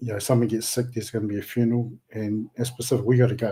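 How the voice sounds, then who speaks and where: A man with a medium-pitched, dark, mellow and somewhat breathy voice talks very fast in a flat monotone.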